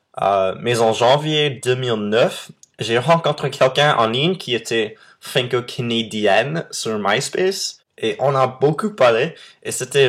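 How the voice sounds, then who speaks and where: A man's medium-pitched voice with lively intonation at a very slow pace, on a very clean recording with a silent background. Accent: English. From Texas. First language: English (speaking French). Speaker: vlogger. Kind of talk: casual vlog monologue. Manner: hesitant, frequent euh fillers.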